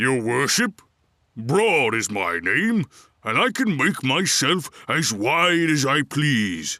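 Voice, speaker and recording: Very slow and very even in loudness, a put-on character voice swings very widely in pitch in a very clean recording with a silent background. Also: man, fairly high pitch for a man. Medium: read story. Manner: deferential.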